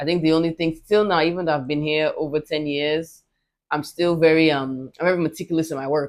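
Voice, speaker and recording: The speaker has an American accent and a monotone, flat intonation. The pace is fairly quick, and the recording is very clean with a silent background. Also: woman, very deep, low pitch for a woman. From US, New Jersey. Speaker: public servant and former reality TV contestant. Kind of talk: casual interview.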